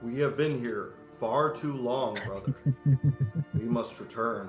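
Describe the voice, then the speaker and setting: Using a put-on character voice, a man speaks at a medium pitch and fairly slow pace. Clear music plays in the background. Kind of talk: formal, archaic. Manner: in character, urgent.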